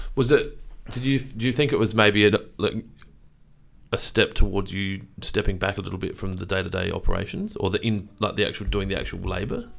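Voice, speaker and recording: An ordinary speaking voice with ordinary pitch variation runs at a fairly quick pace. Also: man, fairly low pitch for a man. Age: 30s. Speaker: podcast host. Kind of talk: casual chat. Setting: studio.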